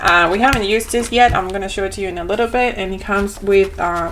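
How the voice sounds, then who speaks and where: In an Argentine accent, a woman speaks at a medium pitch with ordinary pitch variation. There is noticeable background noise and audible room echo. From Argentina. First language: Spanish. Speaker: homeschooling parent and vlogger. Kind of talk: product review. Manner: casual, hesitant with fillers.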